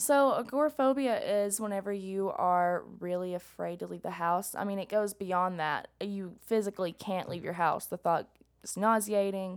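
With hardly any pauses, a woman talks in a Southern US accent over a very clean recording and a silent background. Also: medium pitch for a woman, ordinary pitch variation, moderate pace. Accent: Southern US, country. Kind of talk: casual chat.

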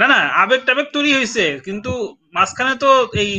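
A man's voice with lively intonation. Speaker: writer and live-stream host. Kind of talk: casual chat. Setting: online live stream.

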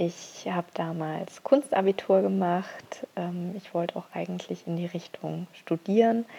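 A woman speaks at a fairly slow pace with hardly any pauses, her loudness swinging widely. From Bavaria, Augsburg. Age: 30s. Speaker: illustrator and graphic recorder. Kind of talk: prepared monologue. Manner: hesitant fillers.

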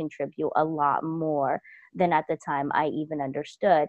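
Here is a woman with an American accent. Her pitch sits very deep and low. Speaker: intuitive life coach. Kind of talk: personal story told in an interview.

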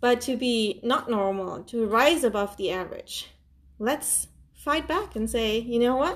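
Against a quiet background, a woman with a non-native accent talks at a fairly slow pace, her pitch high and her intonation lively. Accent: foreign. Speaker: podcaster. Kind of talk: solo motivational monologue. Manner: spontaneous, energetic.

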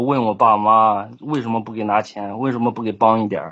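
A man at medium pitch with a Shandong accent and monotone, flat intonation. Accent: Shandong dialect, weak Mandarin. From southern Shandong, near Henan and Anhui. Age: 20s. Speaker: caller. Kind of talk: call-in advice chat. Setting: online voice call.

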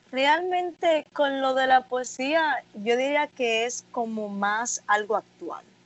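A woman speaks at a very slow pace with hardly any pauses, her high-pitched voice carrying lively intonation. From Dominican Republic, Santo Domingo. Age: 20s. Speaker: student poet. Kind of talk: interview.

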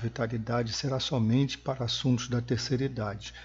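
A man talks at a fairly quick pace with fairly even intonation. His voice is medium in pitch and somewhat breathy. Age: 60s. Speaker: podcast host on aging and health. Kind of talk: solo podcast monologue. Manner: halting with fillers.

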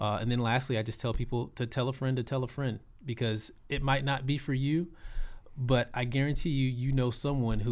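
A man with a Texan accent, medium pitch and a fairly quick pace, on a very clean recording with a silent background. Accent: Texan American. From Texas, South Austin. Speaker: cannabis company community relations manager, former educator. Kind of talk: casual interview.

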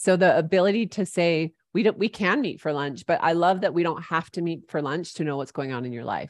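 An ordinary speaking voice from a woman, fairly low in pitch with ordinary pitch variation, at a fairly quick pace with hardly any pauses, over a quiet background. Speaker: podcast host. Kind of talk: interview.

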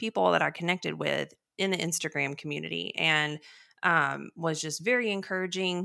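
A woman with a fairly low pitch and bright, sharp tone speaks with vocal fry at a moderate pace. Her pitch varies in an ordinary way, on a very clean recording with a silent background. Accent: Texan. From Texas. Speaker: podcast co-host, weight loss surgery patient. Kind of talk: casual chat. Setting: in-person studio recording, same room.

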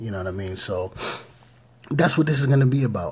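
Speaking with an American accent, a man uses ordinary pitch variation. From Pittsburgh area, Pennsylvania. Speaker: podcast host. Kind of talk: motivational podcast talk. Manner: halting, many fillers.

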